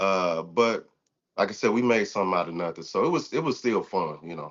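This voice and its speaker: Fairly low in pitch, a man talks at a fairly quick pace with lively intonation. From US Midwest, New Madrid, Missouri (bootheel). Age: 30s. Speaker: podcast host and personal trainer. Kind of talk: casual interview. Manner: relaxed, many fillers and repetitions.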